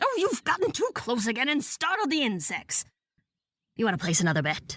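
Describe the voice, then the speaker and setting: Very wide pitch swings mark this put-on character voice, delivered at a fairly quick pace. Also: woman, high pitch for a woman. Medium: audio drama. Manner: sardonic, scornful.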